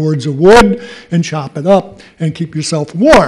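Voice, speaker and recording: The speech moves at a fairly slow pace. It comes with an American accent. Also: man. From Connecticut. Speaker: resident speaking at public comment. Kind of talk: public comment. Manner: blunt and combative. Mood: irritated, argumentative. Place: hall. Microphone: podium.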